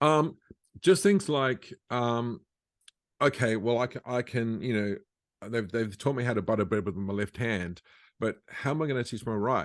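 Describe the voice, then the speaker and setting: This is a plain, everyday voice with lively intonation. It moves at a moderate pace over a quiet background. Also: man, medium pitch for a man. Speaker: musician and educator; stroke survivor. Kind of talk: interview answer.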